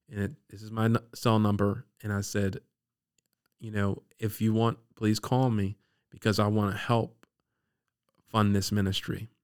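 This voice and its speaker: A man's fairly low, monotone voice with flat intonation, at a moderate pace, with an American accent. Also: long, frequent pauses. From Maryland, Baltimore area and Eastern Shore. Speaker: former youth pastor. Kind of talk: testimony. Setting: studio.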